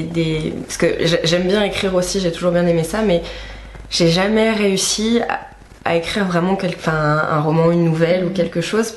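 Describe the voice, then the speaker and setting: A woman with a fairly low pitch keeps a moderate pace and fairly even intonation, noticeable background noise audible throughout. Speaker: YouTube interviewer. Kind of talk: casual interview questions.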